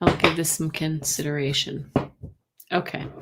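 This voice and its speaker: At a moderate pace, a soft-spoken woman speaks with a fairly low pitch. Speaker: tarot card reader. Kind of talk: live stream tarot reading. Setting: live stream. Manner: halting.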